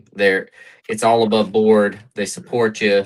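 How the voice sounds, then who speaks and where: A man with a Carolina accent and a fairly low pitch. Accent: Carolina accent, still noticeable. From North Carolina. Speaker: comic book writer. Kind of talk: casual chat.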